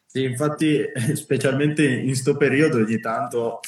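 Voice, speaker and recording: A man talks at a moderate pace in a medium pitch, with ordinary pitch variation. Noticeable background noise runs behind him. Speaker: street workout podcast host. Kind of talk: casual chat. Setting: Instagram live. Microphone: poor audio quality.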